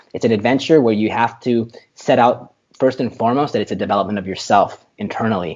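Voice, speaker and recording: Against a quiet background, a man talks at a medium pitch in a dark, mellow tone. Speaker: tech startup founder. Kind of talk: interview conversation. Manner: fast.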